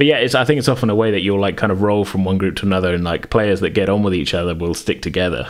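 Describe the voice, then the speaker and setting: Noticeable background noise sits behind a man talking at a very fast pace. His fairly low voice has lively intonation. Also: hardly any pauses. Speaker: podcast host. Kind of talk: casual chat. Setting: remote recording during lockdown.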